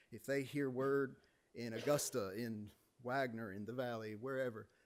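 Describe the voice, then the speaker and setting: This man has a South Carolina accent and a medium pitch. He talks at a fairly quick pace with ordinary pitch variation. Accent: Southern US (South Carolina). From South Carolina, Aiken County. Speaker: public commenter. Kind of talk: public comment at meeting. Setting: city planning commission meeting.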